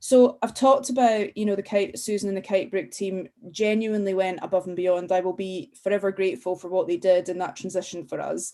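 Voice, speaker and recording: A woman with a Scottish accent and a dark, mellow tone, at a fairly quick pace with ordinary pitch variation, against a quiet background. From Scotland. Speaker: school parent. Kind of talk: webinar talk.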